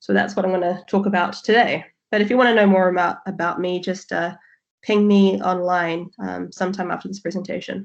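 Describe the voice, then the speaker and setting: In a New Zealand accent, a woman speaks at a fairly quick pace with monotone, flat intonation. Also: medium pitch for a woman. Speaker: QA manager, presenter. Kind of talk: presentation.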